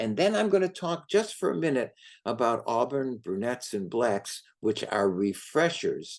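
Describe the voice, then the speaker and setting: Against a quiet background, a man with an ordinary speaking voice speaks at a medium pitch. His pace is fairly slow, and his intonation is lively. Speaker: hair colorist educator. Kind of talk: lecture.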